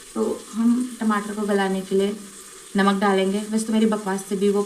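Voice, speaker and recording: Noticeable background noise and audible room echo surround a woman's voice. She speaks at a fairly slow pace with a medium pitch. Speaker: vlogger. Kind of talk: casual cooking vlog. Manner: chatty, rambling.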